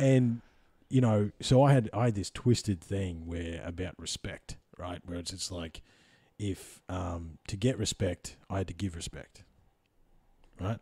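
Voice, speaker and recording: In an Australian accent, a man talks at a fairly slow pace with long, frequent pauses, his very deep, low pitch showing ordinary variation and his dark, mellow tone somewhat breathy. His loudness swings widely, and the recording is very clean with a silent background. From Australia, Central Victoria. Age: 30s. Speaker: podcast host. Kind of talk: casual chat. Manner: animated.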